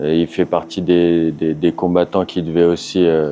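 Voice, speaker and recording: A man talks at a fairly slow pace. His voice sits at a very deep, low pitch. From France. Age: 30s. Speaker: professional MMA fighter. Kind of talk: interview. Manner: halting, many hesitations.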